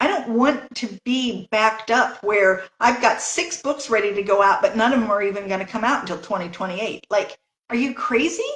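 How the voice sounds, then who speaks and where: An unremarkable speaking voice moves at a moderate pace with ordinary pitch variation and hardly any pauses. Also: woman, fairly high pitch for a woman. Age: 60s. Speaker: novelist. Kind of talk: interview.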